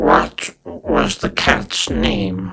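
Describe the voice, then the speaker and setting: This is a man speaking. He uses a put-on character voice. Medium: read story. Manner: formal, officious.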